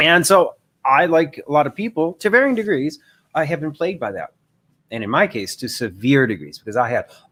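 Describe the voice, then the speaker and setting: Vocal fry marks this man's speech, captured in a very clean recording with a silent background. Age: 50s. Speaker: life coach. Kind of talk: livestream monologue. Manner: fast; halting.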